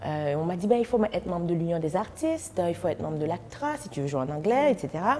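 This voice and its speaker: With a Haitian accent, a woman speaks at a fairly low pitch. Her pace is moderate. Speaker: actress and festival founder. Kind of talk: interview.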